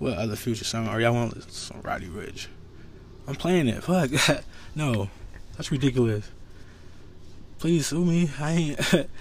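Lively intonation and a moderate pace come with long, frequent pauses and audible room echo. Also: man, medium pitch for a man. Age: 30s. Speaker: podcast host. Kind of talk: casual monologue. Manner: animated.

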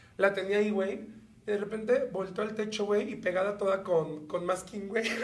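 A man talks at a high pitch and moderate pace, with noticeable background noise. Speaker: podcast co-host. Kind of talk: casual chat. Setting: studio.

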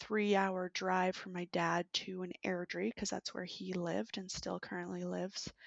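A woman speaks with a Canadian accent at a fairly slow pace, her pitch medium. It's a normal speaking voice. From Canada, British Columbia. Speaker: landscape architect. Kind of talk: career interview.

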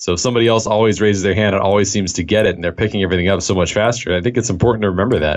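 Very fast speech in a Californian accent, with hardly any pauses and fairly even intonation. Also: man, fairly low pitch for a man. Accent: General American (Californian). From US West Coast, Los Angeles. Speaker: software developer. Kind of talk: interview.

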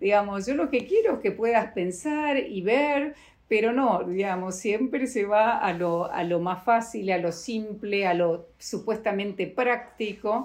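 Against a quiet background, a woman speaks in a normal speaking voice at a fairly high pitch with ordinary pitch variation. Her pace is fairly slow, with hardly any pauses. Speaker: bioethics program director. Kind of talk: interview.

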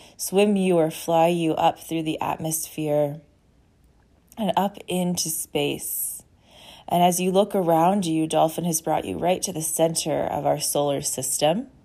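In a very clean recording with a silent background, a woman speaks fairly slowly at a fairly low pitch, her tone soothing, calm, dark and mellow and her intonation fairly even. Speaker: podcast host and intuitive healer. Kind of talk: guided meditation. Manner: slow, soothing and calm, with gentle pacing; warm and inviting.

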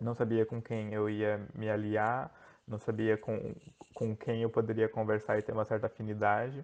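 Using a plain, everyday voice, a man speaks at a medium pitch and a fairly slow pace. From Brazil, Joinville, Santa Catarina. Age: 20s. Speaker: online game contestant. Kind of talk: casual interview.

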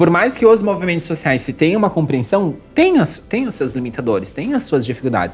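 A woman's fairly low voice at a very fast pace, with noticeable background noise. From Santa Catarina, southern Brazil (Jaraguá do Sul). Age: 30s. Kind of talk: interview.

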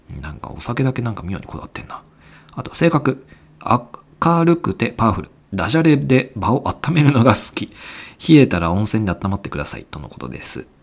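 Speaking at a fairly quick pace, a man with vocal fry and a medium pitch swings very widely in pitch. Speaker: podcast host. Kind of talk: casual chat.

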